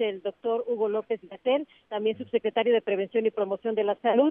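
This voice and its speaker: This woman has an unremarkable speaking voice, pitched fairly high, with ordinary pitch variation. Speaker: reporter. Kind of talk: live report.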